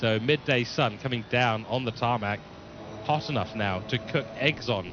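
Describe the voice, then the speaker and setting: Amid noticeable background noise, a man with a medium pitch talks at a moderate pace with ordinary pitch variation. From England. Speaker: sim racing commentator. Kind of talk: live commentary. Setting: live stream broadcast.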